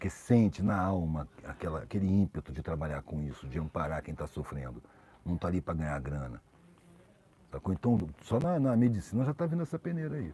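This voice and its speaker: Its pitch makes very wide swings. The tone is dark and mellow. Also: man, very deep, low pitch for a man. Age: 60s. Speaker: social commentator. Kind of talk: live stream conversation. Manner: casual, slangy.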